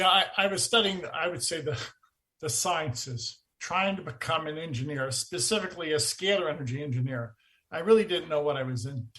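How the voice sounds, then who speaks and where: This man speaks at a fairly quick pace with a fairly high pitch, a bright, sharp tone and lively intonation. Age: 60s. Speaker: energy researcher. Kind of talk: interview.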